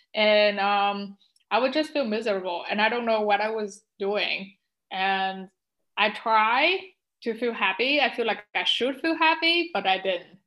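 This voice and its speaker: Speaking with a non-native accent, a woman talks at a moderate pace with medium pitch. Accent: non-native, trouble pronouncing some words. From Vietnam. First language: Vietnamese. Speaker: pharmacist and spiritual life coach. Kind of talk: interview testimony. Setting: remote call.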